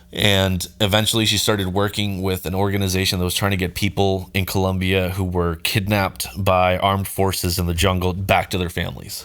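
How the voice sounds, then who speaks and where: A man speaks at a fairly quick pace with a Mid-Atlantic accent, his very deep, low voice flat and monotone, with hardly any pauses. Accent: American, mid-Atlantic. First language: Spanish. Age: 30s. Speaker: musician and videographer. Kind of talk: casual podcast interview.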